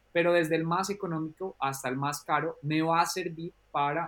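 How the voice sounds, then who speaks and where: A man with a normal speaking voice, fairly high pitch, fairly even intonation and a moderate pace. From Colombia. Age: 30s. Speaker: drone consultant and trainer. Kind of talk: interview.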